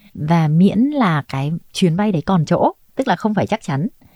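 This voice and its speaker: A woman talks at a fairly quick pace with a fairly low pitch and very wide pitch swings. Her voice is somewhat breathy, and the sound is dry and close with no echo. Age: 30s. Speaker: flight attendant. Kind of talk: interview storytelling.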